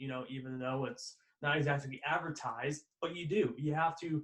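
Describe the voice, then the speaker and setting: At a moderate pace, a man speaks in a fairly high, somewhat breathy voice with fairly even intonation. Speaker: podcast host, student sports broadcaster. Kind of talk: interview question.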